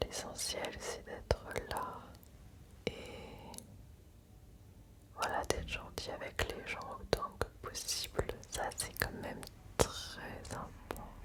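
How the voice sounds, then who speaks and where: A woman whispers in a soothing tone at a very slow pace, leaving long, frequent pauses. Background noise is noticeable. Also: big swings in loudness. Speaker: ASMR creator. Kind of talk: ASMR relaxation, personal attention. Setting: close to the microphone. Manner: whispered, soothing, slow.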